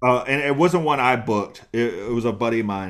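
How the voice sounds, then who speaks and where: Over a silent background in a very clean recording, a man of medium pitch with a Southern US accent speaks at a fairly quick pace. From US South, East Texas and eastern North Carolina. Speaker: comedian. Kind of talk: interview. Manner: hesitant, many fillers.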